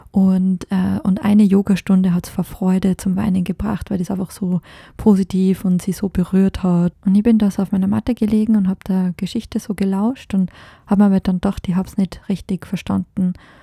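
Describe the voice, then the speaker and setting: A woman's dark, mellow, somewhat breathy voice at medium pitch, flat and monotone, in a dry, close sound with no echo. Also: moderate pace. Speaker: podcast host. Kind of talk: solo podcast monologue. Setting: recording in France.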